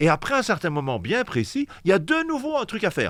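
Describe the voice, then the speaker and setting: Animated in tone, a man with vocal fry talks at a fairly quick pace and makes very wide pitch swings. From Belgium, Liège. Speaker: pastor. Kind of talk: casual chat.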